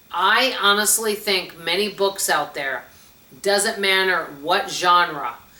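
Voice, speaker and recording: Over noticeable background noise, a woman speaks at a medium pitch and a fairly slow pace, her pitch varying in an ordinary way. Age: 60s. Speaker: book vlogger. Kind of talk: casual chat. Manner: animated.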